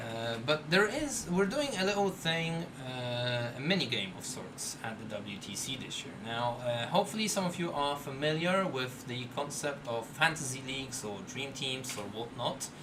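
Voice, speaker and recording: Amid noticeable background noise and audible room echo, a man speaks at a moderate pace and medium pitch with lively intonation and hardly any pauses. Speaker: livestream host. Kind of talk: live draw presentation. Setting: live stream.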